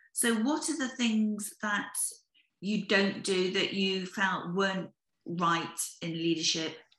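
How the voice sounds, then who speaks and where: With a British accent, a woman talks at a fairly slow pace in a medium pitch with ordinary variation. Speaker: podcast host, business founder. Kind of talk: interview.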